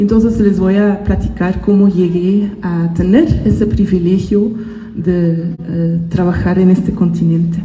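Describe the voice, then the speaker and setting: Over noticeable background noise and audible room echo, a woman at a medium pitch speaks at a fairly slow pace with very even loudness. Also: fairly even intonation. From Belgium (Ghent, Flanders). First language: Dutch (speaking Spanish). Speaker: botanist. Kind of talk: school talk to students. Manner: hesitant, with fillers.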